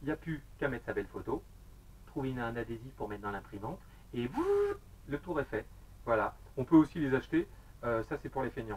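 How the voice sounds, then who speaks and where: A man at a fairly quick pace, broken by long, frequent pauses. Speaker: vape gear reviewer, YouTuber. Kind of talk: product review video. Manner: fast; casual, hesitant with many fillers.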